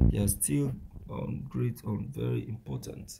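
With a Nigerian accent, a man speaks in very wide pitch swings. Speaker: news commentary vlogger. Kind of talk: outro call to action; news commentary monologue.

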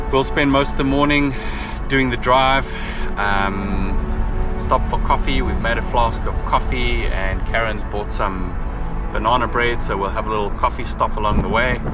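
A man at a moderate pace, dry sound with no echo, clear music in the background. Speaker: travel vlogger. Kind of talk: casual vlog chat. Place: car. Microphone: phone near.

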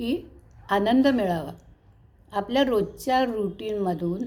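Her pitch is fairly high. The woman's tone is dark and mellow. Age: 70s. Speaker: vlogger. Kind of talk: casual chat.

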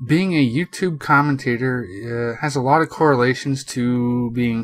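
A man with a plain, everyday voice, medium pitch and ordinary pitch variation, at a moderate pace. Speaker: gaming commentator / YouTuber. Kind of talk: casual talk to camera.

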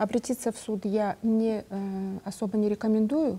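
A woman with a dark, mellow tone and a somewhat breathy voice talks at a moderate pace with fairly even intonation. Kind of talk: live TV call-in Q&A. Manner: halting. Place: studio. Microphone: lapel.

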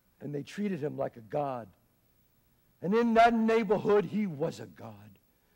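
An American accent from a man, moderate in pace, with very wide pitch swings and big swings in loudness, against a quiet background. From Bronx, New York. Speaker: actor. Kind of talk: theatrical monologue. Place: stage.

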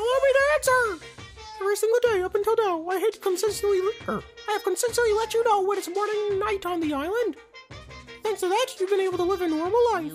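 A put-on character voice rattles along at a very fast pace over clear music in the background. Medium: solo performance. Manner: smug, playful, sinister.

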